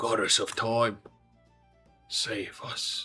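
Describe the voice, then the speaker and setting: Faint music plays behind a man doing a put-on character voice that is soft-spoken and raspy. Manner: pleading.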